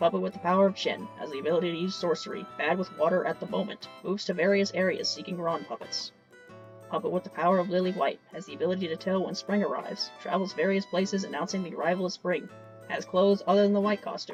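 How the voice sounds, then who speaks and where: The speech moves at a very fast pace while music plays in the background. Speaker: gaming commentary YouTuber. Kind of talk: reading game encyclopedia entries aloud. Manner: volume drops at times.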